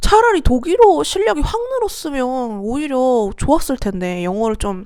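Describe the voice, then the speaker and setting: The voice has a dark, mellow tone and a fairly slow pace. Its pitch swings very widely. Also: woman, high pitch for a woman. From South Korea. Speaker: vlogger. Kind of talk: casual vlog monologue.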